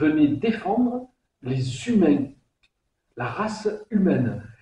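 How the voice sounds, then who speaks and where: A somewhat breathy man's voice in a Provençal accent, with very wide pitch swings. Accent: southern French (Provence). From southern France, Vaucluse. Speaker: singer. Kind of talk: interview. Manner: hesitant, many repetitions; animated.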